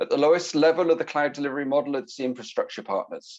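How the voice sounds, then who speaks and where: The speaker is a man with a British accent. The background is quiet. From Britain. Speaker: IT security consultant. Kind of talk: conference presentation. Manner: fast.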